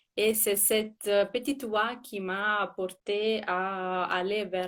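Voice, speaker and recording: A woman with an Italian accent, medium pitch and fairly even intonation in a very clean recording, silent background. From Italy. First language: Italian (speaking French). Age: 30s. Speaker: former cancer patient. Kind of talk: interview on a live stream. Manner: hesitant, many fillers and repetitions.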